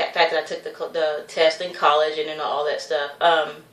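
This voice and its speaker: Here is a woman with a fairly low-pitched voice. Her tone is animated. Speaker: vlogger. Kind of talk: casual vlog monologue. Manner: rambling, self-interrupting.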